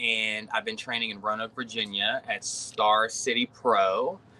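A man speaks at a fairly slow pace. Background noise is noticeable behind him. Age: 30s. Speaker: professional wrestler. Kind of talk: casual chat.

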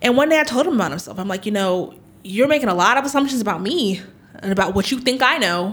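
A loud, very fast woman with an American accent, fairly high in pitch, her voice swinging very widely. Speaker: political insider. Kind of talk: interview. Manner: loud talker.

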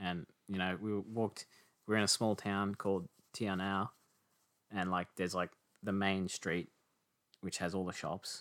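Over a very clean, silent background, a man speaks at a moderate pace in a fairly low, flat monotone. The sound is dry and close, with no echo. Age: 20s. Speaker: podcast guest. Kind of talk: casual chat.

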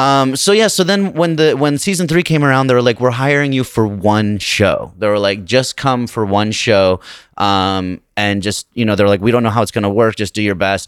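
Here is a man with an unremarkable speaking voice and an American accent. His medium-pitched delivery comes at a moderate pace, with lively intonation and hardly any pauses. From Utah, Salt Lake City. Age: 30s. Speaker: stand-up comedian and actor. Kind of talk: casual chat.

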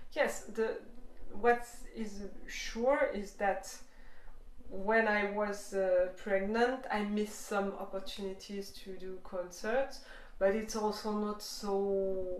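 In a room with audible echo and noticeable background noise, a woman speaks very slowly at a medium pitch in a Swiss French accent, her intonation fairly even. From Switzerland (French-speaking). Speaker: jazz violinist and singer. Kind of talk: interview. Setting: video call. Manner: halting.

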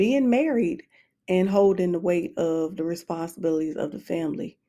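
The woman's tone is dark and mellow, captured on a very clean recording with a silent background. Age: 40s. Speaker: podcast host. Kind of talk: personal monologue. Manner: conversational.

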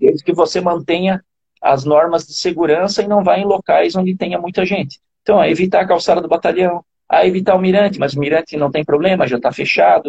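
Very fast and high-pitched, a man talks with fairly even intonation in a dry, close sound with no echo. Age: 40s. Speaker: running coach. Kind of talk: interview. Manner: halting, frequent repetitions.

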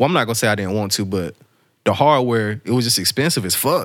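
A man with an American accent speaks in a medium pitch on a very clean recording with a silent background. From rural eastern North Carolina. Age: 20s. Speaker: music producer. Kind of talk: casual interview chat.

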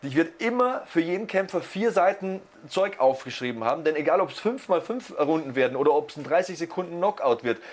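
With music in the background, a high-pitched man speaks at a fairly quick pace in an animated tone with lively intonation. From Lower Bavaria, Germany. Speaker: sports commentator (wrestling and MMA). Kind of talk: casual podcast chat.

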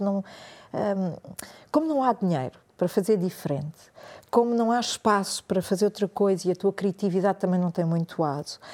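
A woman of medium pitch and a dark, mellow tone speaks at a moderate pace with ordinary pitch variation. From Portuguese-Spanish family, schooled in French. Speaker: meditation and yoga teacher, former journalist. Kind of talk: casual interview chat.

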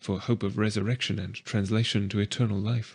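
In a solemn tone, a man speaks somewhat breathy at a fairly low pitch against a quiet background. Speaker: audiobook narrator. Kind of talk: reading aloud of prayers. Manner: solemn, earnest, devout.

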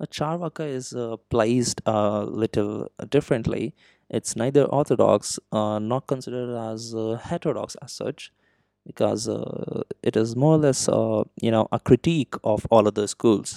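Dark and mellow in tone, a man speaks with ordinary pitch variation on a very clean recording with a silent background. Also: medium pitch for a man, dry, close sound with no echo. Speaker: podcast host. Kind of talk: educational monologue. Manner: slow; hesitant, many fillers.

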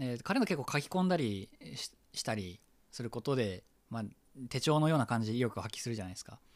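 The recording is very clean, and the background is silent. A man races along at a very fast pace with lively intonation. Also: medium pitch for a man. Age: 30s. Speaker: podcast host. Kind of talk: casual chat. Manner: animated.

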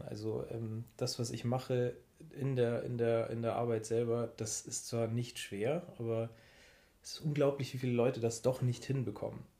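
At a moderate speed, this man talks with a somewhat breathy voice and a dark, mellow tone. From Munich, Bavaria. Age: 30s. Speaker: podcast co-host. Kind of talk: casual chat.

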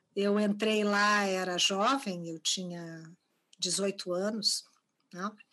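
A woman speaks at a very slow pace, with long, frequent pauses. Her medium-pitched voice has a bright, sharp tone and fairly even intonation. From Brazil, Porto Alegre, Rio Grande do Sul. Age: 50s. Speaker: art curator and university professor. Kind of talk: interview.

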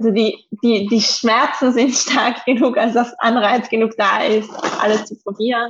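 Her voice is fairly high in pitch and somewhat breathy, and the woman's intonation stays monotone and flat. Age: 20s. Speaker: rheumatism patient. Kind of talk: interview. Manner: hesitant, many fillers.

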